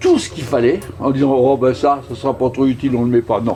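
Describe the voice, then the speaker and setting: Music plays behind a man talking at a fairly quick pace. His pitch sits in the medium range. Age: 70s. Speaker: retired sea rescue volunteer. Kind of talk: interview.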